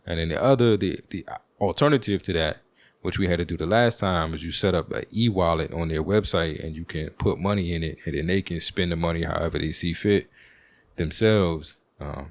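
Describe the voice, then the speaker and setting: With an American accent, a man with a very deep, low pitch speaks at a fairly quick pace on a very clean recording with a silent background. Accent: Baltimore accent, as heard by another person. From Washington, DC. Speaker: podcast host. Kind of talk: casual monologue.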